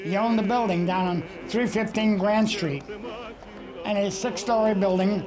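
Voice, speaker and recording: A man's high-pitched voice at a moderate pace, with long, frequent pauses, very even loudness, fairly even intonation, audible room echo and noticeable background noise. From New York City (Brooklyn). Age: 80s+. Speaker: cartoonist. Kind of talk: documentary interview.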